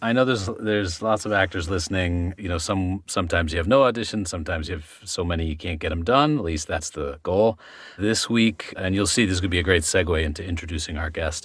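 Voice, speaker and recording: A man speaks at a very fast pace in a very deep, low pitch. His voice is somewhat breathy, with ordinary pitch variation. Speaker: actor. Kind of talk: podcast conversation.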